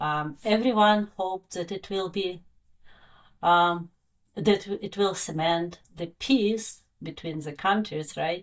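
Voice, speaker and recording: This woman speaks with a Russian accent at a medium pitch. Her pace is very slow. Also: ordinary pitch variation, very clean recording, silent background. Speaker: science educator, former astronaut instructor. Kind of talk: interview. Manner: halting, many fillers.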